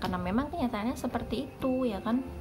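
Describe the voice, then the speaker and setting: Music can be heard in the background. A woman speaks fairly quickly over it. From Java, then NTT from junior high. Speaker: vlogger. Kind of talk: casual vlog storytelling. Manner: chatty, conversational.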